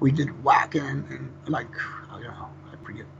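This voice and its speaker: A man's voice over noticeable background noise. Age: 50s. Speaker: death metal vocalist. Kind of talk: interview. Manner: fast.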